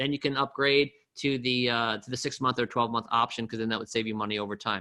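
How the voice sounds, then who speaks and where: This is a man speaking. His voice has a bright, sharp tone. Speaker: online business coach. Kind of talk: sales pitch. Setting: webinar call. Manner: fast.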